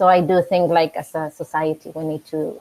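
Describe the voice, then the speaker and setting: With a Spanish accent, a woman speaks slowly-ish in a fairly low pitch and fairly even intonation, the sound dry and close with no echo. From Mexico. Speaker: coffee professional. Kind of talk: casual chat. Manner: halting.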